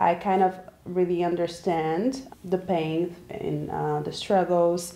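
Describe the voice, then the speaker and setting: A woman's fairly low voice with a Brazilian accent, a dark, mellow tone and fairly even intonation. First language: Portuguese. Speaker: graduate student and babysitter. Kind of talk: casual interview.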